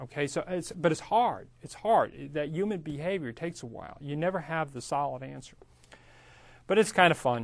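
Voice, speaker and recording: At a moderate pace, a man with a fairly high pitch and an unremarkable speaking voice talks with big swings in loudness. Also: lively intonation. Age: 50s. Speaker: real estate instructor. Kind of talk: lecture. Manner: casual, conversational.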